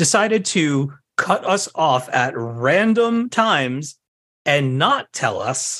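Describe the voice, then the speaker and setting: With a plain, everyday voice, a man speaks at a fairly high pitch with lively intonation. The background is quiet. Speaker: podcast host. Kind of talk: casual chat. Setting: home office.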